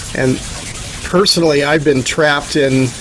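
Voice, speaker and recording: Noticeable background noise accompanies a man whose fairly high-pitched voice has fairly even intonation. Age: 60s. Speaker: founder of an environmental restoration organization. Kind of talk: casual talk on a video call. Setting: video call.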